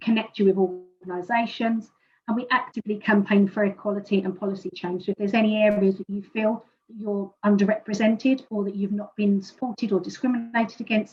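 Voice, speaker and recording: A very fast woman's voice in a British accent, medium in pitch and somewhat breathy, with fairly even intonation and big swings in loudness. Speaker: presenter from a fertility support organisation. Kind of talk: presentation.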